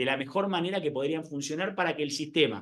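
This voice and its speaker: A man is speaking. His pace is fairly quick. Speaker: lawyer and conference speaker. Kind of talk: conference talk. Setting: conference hall with live and online audience. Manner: hesitant, many fillers and repetitions.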